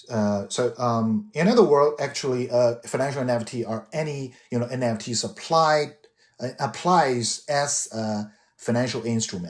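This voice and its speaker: Speaking at a moderate pace with a non-native accent, a man uses medium pitch and ordinary pitch variation. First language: Chinese. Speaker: crypto startup co-founder. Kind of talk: interview. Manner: halting, many fillers.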